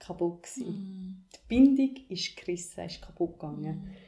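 Moderate pace and a somewhat breathy quality in a woman's voice. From Ethiopia, moved to Switzerland at twelve. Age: 20s. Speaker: podcast host, activist and coach. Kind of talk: personal testimony interview.

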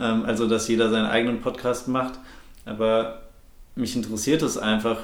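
In a room with audible echo, a man of medium pitch speaks at a moderate pace in a flat monotone. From Ruhr area, Germany (Bochum). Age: 20s. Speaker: podcast co-host. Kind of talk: casual chat. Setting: living room used as home studio.

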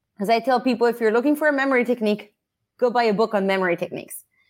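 On a very clean recording with a silent background, a woman with an Italian accent speaks fairly high, with ordinary pitch variation. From Italy. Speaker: learning course manager. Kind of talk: interview.

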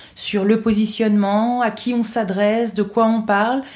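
A woman with a fairly high pitch and a dark, mellow, somewhat breathy tone speaks at a very slow pace. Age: 30s. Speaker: public-sector finance consultant and mental health festival founder. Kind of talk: interview.

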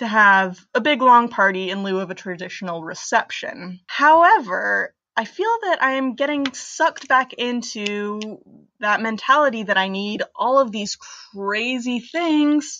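A woman with an American accent, a normal speaking voice, fairly high pitch, lively intonation and a fairly slow pace. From US, Pennsylvania. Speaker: listener, engaged. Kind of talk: voicemail. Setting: phone voicemail.

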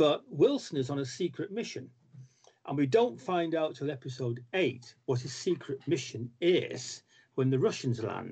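Pitched fairly high, a man talks at a moderate pace with lively intonation and a somewhat breathy sound. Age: 60s. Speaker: comics writer. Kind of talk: casual chat.

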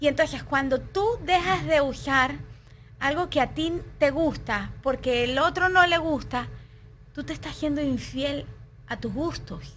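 Speaking at a fairly slow pace, the woman has a high pitch and ordinary pitch variation. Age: 30s. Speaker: juice maker, wellness guide. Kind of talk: casual interview.

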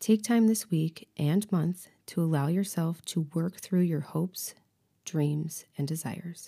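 At a fairly slow pace, the speaker has a somewhat breathy, dark, mellow tone, a soothing, calm delivery and ordinary pitch variation. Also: woman, fairly low pitch for a woman. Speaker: podcast host and life coach. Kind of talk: guided meditation; coaching talk with journaling prompts. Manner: slow, soothing and calm, with long pauses between lines; soft-spoken and gentle, leading the listener through relaxation.

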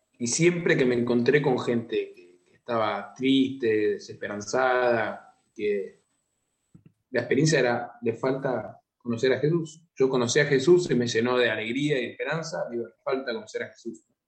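Here a man with an ordinary speaking voice talks at a fairly slow pace and medium pitch. His pitch varies in an ordinary way, while his loudness swings widely. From Argentina, Buenos Aires province (San Antonio de Areco). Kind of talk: interview.

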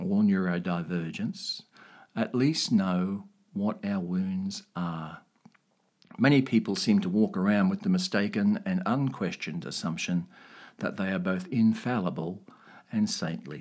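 Talking at a fairly slow pace, a man with ordinary pitch variation uses a plain, everyday voice. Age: 60s. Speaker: podcaster. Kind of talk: personal narration. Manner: reflective.

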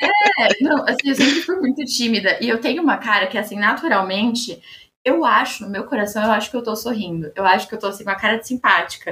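Noticeable background noise runs behind a woman speaking at a fairly quick pace. Her voice is fairly high, with lively intonation. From Osasco, São Paulo state, Brazil. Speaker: researcher and master's student. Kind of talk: casual chat.

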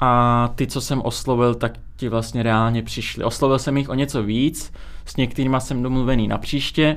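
A man at medium pitch and moderate pace. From Czech Republic (born in Azerbaijan, moved as infant). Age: 20s. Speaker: music video studio owner. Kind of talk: casual interview.

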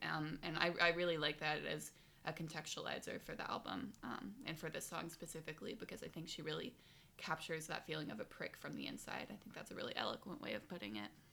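The voice races at a very fast pace with very wide pitch swings and vocal fry. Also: woman, very deep, low pitch for a woman. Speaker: podcast host. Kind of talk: casual chat.

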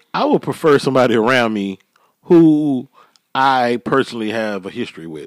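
Recorded with a dry, close sound and no echo, a man with a normal speaking voice talks at a moderate pace, his intonation lively and his loudness swinging widely. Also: medium pitch for a man. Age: 40s. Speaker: podcast host. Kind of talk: casual chat.

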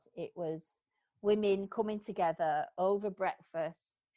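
In a northern English accent, the speaker talks at a very slow pace with a dark, mellow tone. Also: woman. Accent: Greater Manchester northern English. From Bury, Greater Manchester. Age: 40s. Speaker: salon owner. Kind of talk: interview conversation. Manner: animated, humorous.

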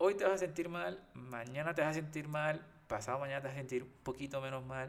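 This is an unremarkable speaking voice at a fairly quick pace. Its pitch variation is ordinary. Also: man. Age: 30s. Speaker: podcast co-host. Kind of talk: casual chat.

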